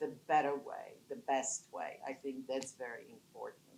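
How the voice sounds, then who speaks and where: A woman is speaking. She has a non-native accent. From Poland. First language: not English. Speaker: business founder, panelist. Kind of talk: panel talk. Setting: conference panel with audience.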